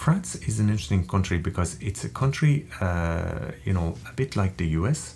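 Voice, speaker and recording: A man with a very deep, low voice speaks with very wide pitch swings and hardly any pauses. Background noise is noticeable. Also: moderate pace. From Ireland. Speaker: interview guest, Irish emigrant. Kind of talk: interview conversation. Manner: hesitant, many fillers.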